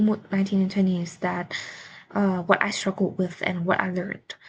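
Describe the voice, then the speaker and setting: A woman's somewhat breathy voice. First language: not English. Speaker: student. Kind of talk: class presentation. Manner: halting, with fillers.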